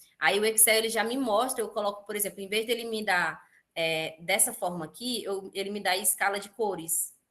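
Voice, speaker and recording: Speaking at a moderate pace, a woman with a medium-pitched voice sounds bright and sharp, with fairly even intonation. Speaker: teacher. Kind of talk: online class tutorial.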